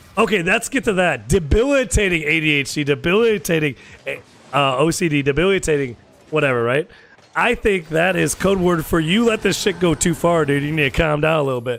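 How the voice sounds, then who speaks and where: A man speaks at a fairly quick pace with a fairly high pitch and an animated tone. His intonation is lively, and music plays in the background. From US Midwest, Chicago area. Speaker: gaming streamer. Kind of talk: casual chat. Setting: live stream.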